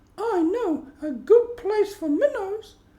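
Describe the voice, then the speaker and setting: Put-on character voice, squeaky and extremely high, delivered at a fairly slow pace. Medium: read story. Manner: prim, polite.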